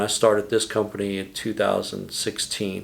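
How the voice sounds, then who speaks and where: A man talks with a Texan accent in a fairly low voice. The recording is very clean, with a silent background. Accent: Texan US Southern. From Texas, San Antonio. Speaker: business owner. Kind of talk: interview.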